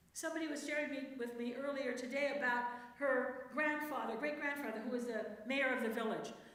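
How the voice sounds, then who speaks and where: Over noticeable background noise and audible room echo, a woman talks at a very fast pace in an animated tone, her pitch high with ordinary variation. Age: 60s. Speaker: church speaker, priest's wife and theologian. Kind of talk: talk to a church women's group. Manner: conversational, animated.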